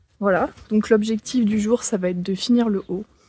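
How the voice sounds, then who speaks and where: A woman talks in a somewhat breathy voice with a dark, mellow tone. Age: 20s. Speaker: handmade clothing designer. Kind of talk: casual vlog talk to camera.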